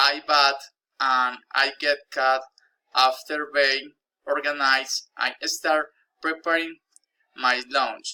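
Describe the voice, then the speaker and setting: A man with a bright, sharp tone and fairly high pitch speaks very slowly in a monotone, flat way, with very even loudness and long, frequent pauses. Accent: Spanish. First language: Spanish. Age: 20s. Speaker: language learner. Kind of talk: reading aloud.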